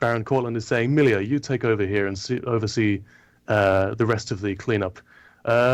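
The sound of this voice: An unforced reading voice carries the whole clip.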